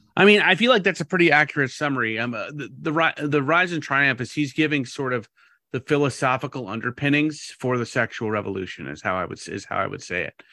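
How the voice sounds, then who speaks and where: Very fast and bright, sharp in tone, a man with a fairly high pitch speaks with vocal fry and lively intonation over a quiet background. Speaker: pastor. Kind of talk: casual podcast conversation.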